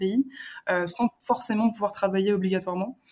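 An ordinary speaking voice from a woman, medium in pitch, at a fairly quick pace with fairly even intonation. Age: 20s. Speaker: student traveller. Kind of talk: casual interview.

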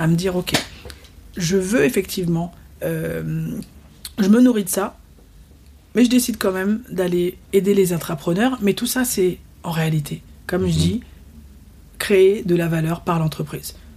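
The speaker talks at a fairly slow pace with long, frequent pauses and ordinary pitch variation. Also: woman, medium pitch for a woman. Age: 40s. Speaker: entrepreneurship trainer and teacher, former lawyer. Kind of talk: casual interview. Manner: halting.

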